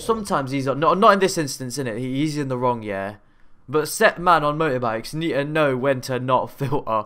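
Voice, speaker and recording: Against a quiet background, a man talks fairly quickly in a bright, sharp tone with lively intonation. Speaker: reaction streamer. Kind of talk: casual reaction commentary. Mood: joking, irreverent. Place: home room. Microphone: studio mic.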